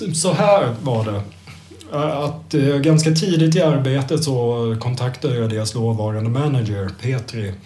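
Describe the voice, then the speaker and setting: Over audible room echo, a man with a medium pitch, a dark, mellow tone and lively intonation sounds somewhat breathy as he talks at a fairly slow pace. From Sweden, Kalmar. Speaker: music journalist. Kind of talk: casual chat.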